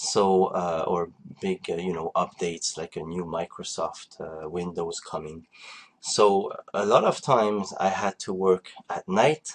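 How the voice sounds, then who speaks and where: A man speaks with a French accent at a fairly slow pace, his loudness swinging widely, in a dry, close recording with no echo. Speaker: online marketing coach. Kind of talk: conference call presentation. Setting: online group call. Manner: halting, many fillers.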